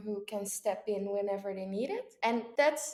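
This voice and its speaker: This woman has a fairly high pitch, a dark, mellow tone, and a Dutch accent. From Netherlands, Texel island. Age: 20s. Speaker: au pair. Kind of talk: interview.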